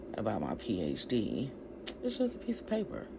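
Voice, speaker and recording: Fairly slow speech from a woman, amid audible room echo and noticeable background noise. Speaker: vlogger with a doctorate sharing personal story. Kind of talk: personal vlog monologue. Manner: loud.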